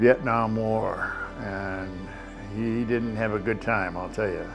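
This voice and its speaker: A man with an American accent talks very slowly in a fairly low voice, his intonation fairly even. Clear music plays behind him. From US Pacific Northwest, Seattle. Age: 90s. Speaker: war veteran. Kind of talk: interview testimony. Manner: halting. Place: home room. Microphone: lapel.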